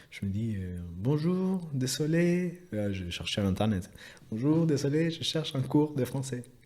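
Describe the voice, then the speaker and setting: With a Spanish accent, a man talks at a very slow pace with hardly any pauses, his medium pitch making very wide swings, his loudness rising and falling a lot, and his tone dark and mellow. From Chile. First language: Spanish (speaking French). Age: 30s. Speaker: engineer. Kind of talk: interview. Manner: halting.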